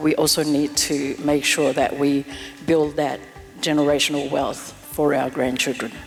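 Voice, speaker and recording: With music in the background, a woman speaks at a moderate pace in a very deep, low pitch. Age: 60s. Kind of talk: interview answer.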